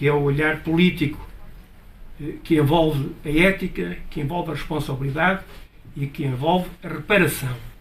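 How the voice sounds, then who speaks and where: Audible room echo surrounds this man's voice. He speaks at a moderate pace with a fairly high pitch. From northern Portugal (Chaves area). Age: 70s. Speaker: audience speaker at book talk. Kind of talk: public talk. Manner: hesitant, many fillers.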